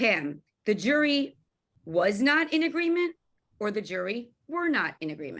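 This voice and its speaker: A woman with a Long Island accent talks at a moderate pace, her fairly high pitch making very wide swings. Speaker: event host, journalist. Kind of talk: panel discussion.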